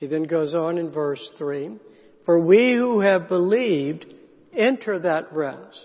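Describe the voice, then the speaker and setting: A man with a Southern US accent, high pitch and lively intonation. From US South, South Carolina. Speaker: pastor. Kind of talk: sermon. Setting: church.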